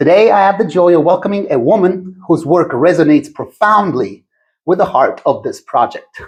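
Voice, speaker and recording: High-pitched for a man, this speaker uses lively intonation at a moderate pace. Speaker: podcast host. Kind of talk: scripted introduction. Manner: calm.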